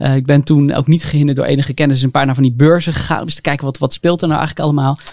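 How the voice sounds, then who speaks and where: A man talks at a very fast pace. His delivery stays monotone and flat. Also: fairly high pitch for a man. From North Holland, Haarlem. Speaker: entrepreneur. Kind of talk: casual chat.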